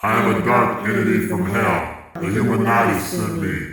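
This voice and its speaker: Putting on a character voice, a man speaks at a moderate pace. There is a strong echo. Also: medium pitch for a man. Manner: evil.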